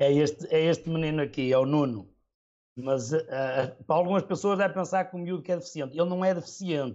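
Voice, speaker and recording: Using a normal speaking voice, a man talks at a fairly quick pace in a fairly high pitch with ordinary pitch variation. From northern Portugal, Trofa area. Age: 40s. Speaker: football superfan and firefighter. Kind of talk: casual interview chat.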